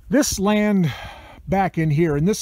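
A man's voice comes through with a dry sound with no echo. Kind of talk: casual vlog chat. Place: forest. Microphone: phone near.

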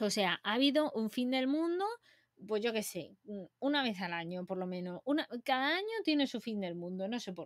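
Against a quiet background, a woman speaks at a moderate pace in an animated tone, her fairly high pitch moving in very wide swings. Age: 20s. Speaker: science streamer. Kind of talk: casual live stream chat. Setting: live stream. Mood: playful, chatty. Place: home room. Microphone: webcam.

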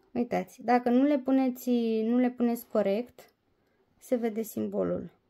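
The delivery is monotone and flat at a fairly slow pace, over a quiet background. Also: woman, high pitch for a woman, very even loudness. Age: 30s. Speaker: diamond painting vlogger. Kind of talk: casual vlog review; casual vlog chat. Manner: hesitant, many fillers. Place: home room. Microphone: phone near.

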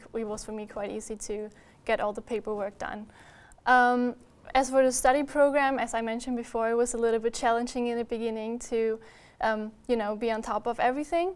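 A woman speaks at a fairly quick pace with a German accent. Her pitch is fairly high, and her intonation stays fairly even. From Austria. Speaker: university student. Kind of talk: webinar interview about studies. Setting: live-streamed webinar. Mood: friendly, relaxed. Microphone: lapel.

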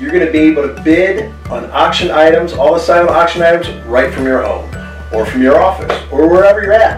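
A man talks at a fairly quick pace with audible room echo. Clear music plays in the background. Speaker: auctioneer. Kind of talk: casual promotional message to camera. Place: home room.

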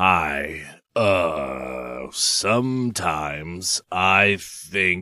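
A man performs a cartoonish character voice that is raspy and very deep and low. He talks at a very slow pace with lively intonation.

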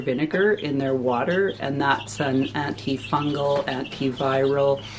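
Light background noise runs under the recording. A woman talks at a fairly slow pace with ordinary pitch variation. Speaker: homesteading vlogger. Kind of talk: casual vlog chat. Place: home room. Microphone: phone near.

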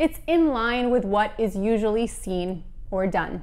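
An American-accented woman's voice. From United States. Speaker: English teacher. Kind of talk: educational lesson to camera. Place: home room. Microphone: lapel.

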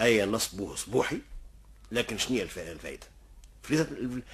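A man with vocal fry and medium pitch speaks at a fairly quick pace in an animated tone, with lively intonation and long, frequent pauses. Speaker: storyteller. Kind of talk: oral folk storytelling. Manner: animated, acts out dialogue.

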